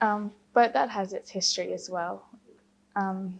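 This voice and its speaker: This woman has an Australian accent. She talks fairly slowly. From Queensland, Australia. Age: 20s. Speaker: engineer, convert to Islam. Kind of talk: personal testimony interview. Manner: hesitant, many fillers.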